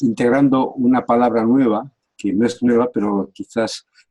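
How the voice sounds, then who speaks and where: The man's voice has a dark, mellow tone and a dry, close sound with no echo. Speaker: coach, academic director. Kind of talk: casual chat.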